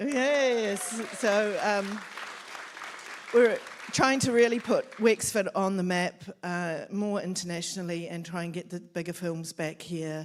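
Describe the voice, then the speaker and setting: Crowd noise fills the background as a woman with a New Zealand accent talks at a medium pitch with ordinary pitch variation. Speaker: film office coordinator. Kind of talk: event welcome speech.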